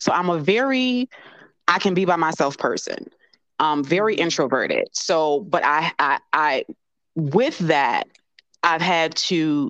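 Speaking with an American accent, the voice moves at a fairly slow pace with long, frequent pauses, lively intonation and very even loudness, in a dry, close sound with no echo. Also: woman, fairly low pitch for a woman. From US Midwest (Chicago). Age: 40s. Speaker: life coach. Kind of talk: casual interview chat.

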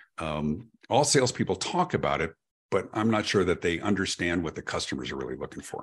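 Speaking at a fairly quick pace, a man has a very deep, low pitch with vocal fry. His pitch swings very widely. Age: 50s. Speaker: podcast host, customer experience speaker. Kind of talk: interview conversation. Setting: video call. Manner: halting, repeats words.

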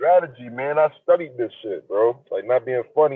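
At a moderate pace, a man with an American accent speaks in a normal speaking voice. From Niagara Falls, New York, US. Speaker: hip hop artist. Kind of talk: casual interview chat.

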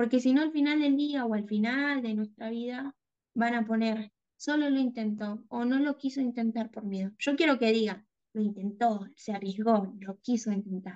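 A woman with an Argentine accent, fairly high in pitch, with ordinary pitch variation and a moderate pace. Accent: Argentine Spanish (voseo). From Argentina, small town near the Chilean border. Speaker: graphic designer and content creator. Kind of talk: interview conversation.

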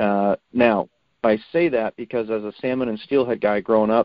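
With an American accent and a normal speaking voice, a man talks at medium pitch and a fairly quick pace, his intonation fairly even. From Oregon, Portland area. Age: 40s. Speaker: angler and law enforcement officer, former Marine. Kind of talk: casual interview.

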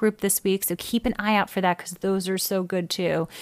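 A woman with an American accent talks in an unremarkable speaking voice at medium pitch with fairly even intonation. The sound is dry and close, with no echo. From New York City. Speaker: podcast host and actress. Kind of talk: interview; scripted narration.

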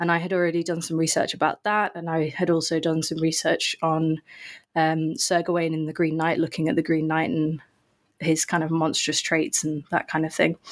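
In a very clean recording with a silent background, a woman with an English accent speaks at a moderate pace in a monotone, flat intonation. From England. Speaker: author and researcher. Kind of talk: interview. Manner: hesitant with fillers.

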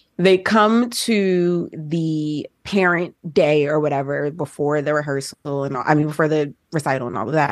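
A woman with an American accent speaks at a very deep, low pitch. Her moderate pace has hardly any pauses. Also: ordinary pitch variation. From New Jersey, then Georgia (US South). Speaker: social media recapper and show host. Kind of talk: casual chat. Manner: animated.

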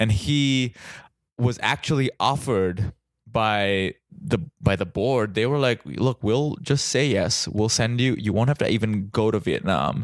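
In a very clean recording with a silent background, a man with vocal fry speaks fairly slowly at a medium pitch, with lively intonation and very even loudness. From India (Mumbai). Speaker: comedian. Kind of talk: casual chat. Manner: halting.

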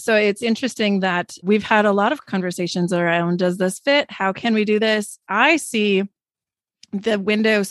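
A woman's normal speaking voice with an American accent, medium in pitch, at a moderate pace with ordinary pitch variation, dry and close with no echo against a quiet background. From Wisconsin, US Midwest. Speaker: podcast host and author. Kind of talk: casual chat.

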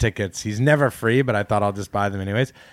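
With a Canadian accent, a man uses an ordinary speaking voice, fairly low in pitch with fairly even intonation, recorded dry and close with no echo. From Canada. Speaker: comedian. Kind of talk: casual chat.

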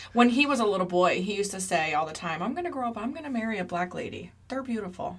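A woman's medium-pitched voice at a very fast pace with hardly any pauses, over noticeable background noise. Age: 30s. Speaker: true crime podcast co-host. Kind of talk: casual chat.

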